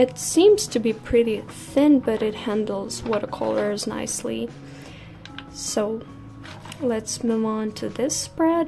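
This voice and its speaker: Very slow speech over music in the background. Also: woman. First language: not English. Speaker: art vlogger. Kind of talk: casual chat. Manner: soft-spoken; halting.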